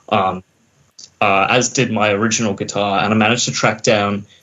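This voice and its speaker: With an Australian accent, a man speaks in a fairly low pitch and fairly even intonation. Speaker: metal band musician. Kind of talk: casual interview chat. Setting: video call.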